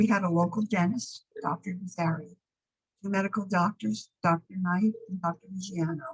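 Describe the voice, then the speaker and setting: Somewhat breathy speech at a moderate pace, with an American accent and ordinary pitch variation. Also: woman, medium pitch for a woman. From Piermont, New York (lower Hudson Valley). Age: 80s+. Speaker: local resident sharing memories. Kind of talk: reading aloud memoir.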